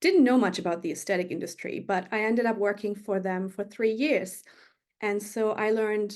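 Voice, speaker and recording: A woman with a German accent speaks at a fairly quick pace. Her intonation stays fairly even. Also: quiet background. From Germany, Berlin. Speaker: magazine editor. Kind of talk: interview.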